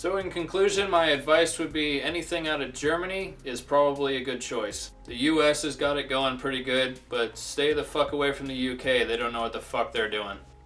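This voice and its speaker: With music playing behind him, a man speaks in a fairly high voice with ordinary pitch variation and hardly any pauses. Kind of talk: comedic beer review talk to camera. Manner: crude, profane, sarcastic.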